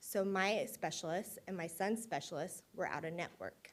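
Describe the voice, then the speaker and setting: A woman at medium pitch speaks with an American accent and fairly even intonation. The recording is very clean, with a silent background. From Indiana. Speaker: patient advocate. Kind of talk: personal testimony on stage. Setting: stage with audience. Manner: fast.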